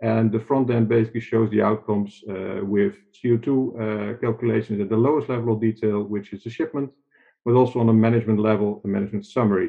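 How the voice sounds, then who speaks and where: A man talks at a very fast pace in a flat monotone against a quiet background. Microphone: webcam.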